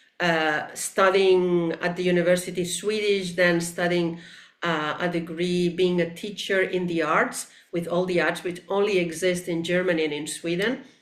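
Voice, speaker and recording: In a room with audible echo, a woman with a fairly low pitch speaks at a moderate pace in a monotone, flat intonation. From Spain, Barcelona (Catalonia). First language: Catalan and Spanish. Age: 60s. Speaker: teacher and sculptor. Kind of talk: interview conversation.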